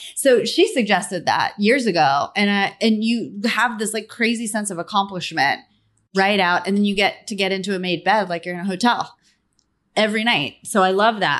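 Against a quiet background, a woman speaks in a plain, everyday voice at a medium pitch and moderate pace, with ordinary pitch variation. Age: 40s. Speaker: entrepreneur and author. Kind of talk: interview.

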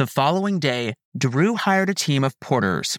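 A man's fairly high voice, dramatic and solemn in tone, with lively intonation, a moderate pace and a dry, close sound free of echo. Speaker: podcast narrator. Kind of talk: true-crime history narration, scripted. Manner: measured, solemn storyteller pace, even and formal; dramatic, vivid scene-setting delivery.

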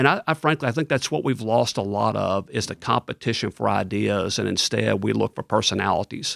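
In a dry, close sound with no echo, a man with a Tennessee accent talks at a fairly quick pace. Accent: Southern US (Tennessee). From West Tennessee. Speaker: state official, former state legislator. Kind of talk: interview.

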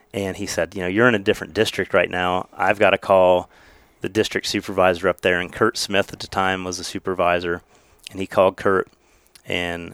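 A man with an American accent and a fairly low pitch, at a moderate pace, in a dry, close sound with no echo. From southeast Ohio, Meigs County. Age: 40s. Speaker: game warden. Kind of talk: casual chat. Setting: outdoors.

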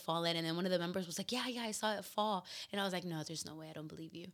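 A woman at a very fast pace, her intonation fairly even. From Mexican family (Guerrero roots). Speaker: mother and gym event organizer. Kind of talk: casual chat. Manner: loud; laughs loudly.

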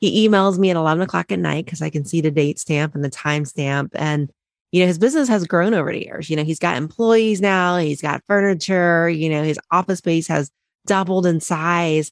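Speaking fairly quickly in a normal speaking voice, a woman with an American accent uses a fairly low pitch and ordinary pitch variation. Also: dry, close sound with no echo, very clean recording, silent background. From Ohio, Cincinnati. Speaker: accountant and author. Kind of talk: interview.

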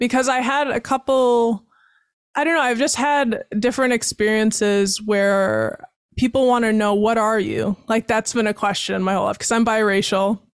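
Speaking at a moderate pace, a woman with a fairly high pitch has an unremarkable speaking voice, with ordinary pitch variation and very even loudness. The sound is dry and close with no echo, in a very clean recording with a silent background. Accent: American. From Wisconsin (Baraboo). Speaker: podcast host. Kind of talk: casual interview; scripted show intro and outro. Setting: studio.

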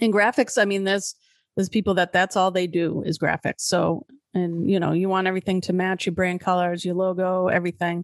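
A woman's normal speaking voice at medium pitch, with a fairly quick pace, fairly even intonation and very even loudness, plus a dry, close sound with no echo and a quiet background. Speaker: podcast host, business manager. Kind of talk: casual conversational podcast.

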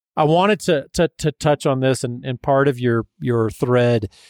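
A man with an ordinary speaking voice talks at a fairly slow pace with lively intonation, in a dry, close sound with no echo on a very clean recording with a silent background. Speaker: podcast host, mixed media artist. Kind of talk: casual interview chat.

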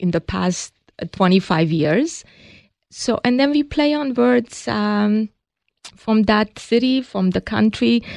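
A woman with a Hungarian accent at medium pitch and a very slow pace, lively in intonation, in a dry, close sound with no echo against a quiet background. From Hungary. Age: 60s. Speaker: cosmetics company co-founder. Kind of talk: interview.

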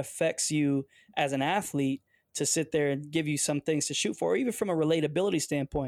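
In a dry, close sound with no echo and a very clean recording over a silent background, a man with an American accent speaks at a fairly quick pace with ordinary pitch variation. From Detroit area, US. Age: 40s. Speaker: football coach and former pro athlete. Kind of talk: interview conversation. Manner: hesitant, with fillers.

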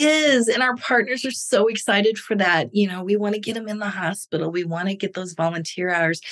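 A woman speaks with a Midwestern US accent. Her intonation is lively and her pace moderate. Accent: US Midwest. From Missouri, near St. Louis. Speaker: nonprofit fundraising executive. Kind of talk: interview conversation.

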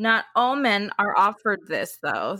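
A woman with an unremarkable speaking voice, a medium pitch and ordinary pitch variation is heard on a very clean recording with a silent background. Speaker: podcast co-host. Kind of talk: casual chat.

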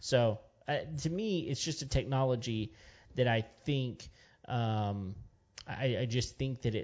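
A man speaks in a Texan accent. His pitch varies in an ordinary way. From West Texas. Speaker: podcast co-host. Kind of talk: casual chat. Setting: studio.

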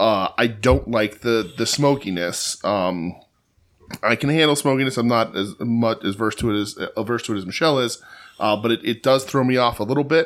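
A man's plain, everyday voice, medium in pitch, with ordinary pitch variation and a fairly quick pace. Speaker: podcast co-host. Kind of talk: casual chat.

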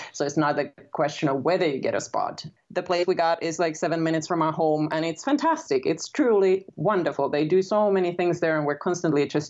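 Using a very deep, low pitch, a woman with a Finnish accent talks at a fairly quick pace with fairly even intonation. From Finland. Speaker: author. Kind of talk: interview.

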